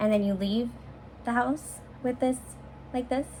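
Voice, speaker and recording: A woman with an American accent at a fairly quick pace, with ordinary pitch variation and noticeable background noise. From US West Coast, San Francisco. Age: 20s. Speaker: YouTuber. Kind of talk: Q&A vlog. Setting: home bedroom. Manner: animated.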